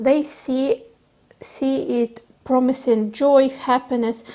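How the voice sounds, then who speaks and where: A woman with a non-native accent speaks in a high voice with a dark, mellow tone. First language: not English. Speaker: tarot reader. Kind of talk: tarot reading. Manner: halting.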